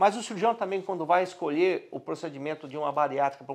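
Over a quiet background, a man talks at a very fast pace in a fairly high voice with ordinary pitch variation. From Brazil. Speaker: doctor. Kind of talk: medical explainer video. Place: office. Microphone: lapel.

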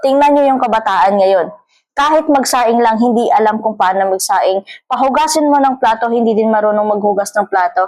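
A woman's fairly high voice with ordinary pitch variation, very even loudness and a moderate pace. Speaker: vlogger. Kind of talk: casual monologue vlog. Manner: halting, many fillers and repeats.

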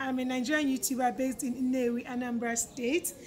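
A woman speaks in a high voice at a fairly quick pace. There is light background noise. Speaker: YouTuber host. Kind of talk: casual vlog chat. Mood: cheerful, laughing. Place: street. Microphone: phone near.

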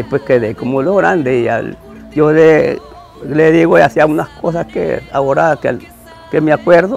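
A man's fairly high-pitched voice over faint background music. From Santa Cruz, Guanacaste, Costa Rica. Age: 80s+. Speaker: cowboy (sabanero). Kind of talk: interview answer. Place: garden. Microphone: lapel.

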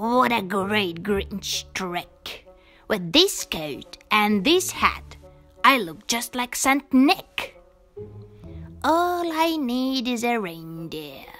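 In a put-on character voice, a man with a high pitch talks at a very slow pace over faint background music. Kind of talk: bedtime story. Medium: read story. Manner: sneering, scheming; growling.

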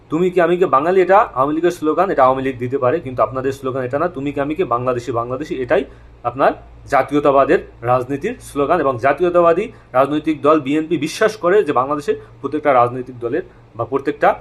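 A normal speaking voice from a man at a fairly high pitch, with ordinary pitch variation. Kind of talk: monologue commentary.

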